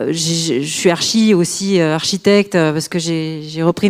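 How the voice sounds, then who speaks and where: In a southern French accent, a woman speaks at a moderate pace with a fairly low pitch and fairly even intonation. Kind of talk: casual, conversational, hesitant.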